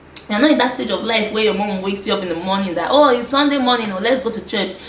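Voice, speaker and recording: Speaking at a very fast pace, a woman with a medium-pitched voice uses lively intonation and an animated tone, while noticeable background noise and audible room echo surround her. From Nigeria. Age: 20s. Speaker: lifestyle vlogger. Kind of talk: advice monologue vlog.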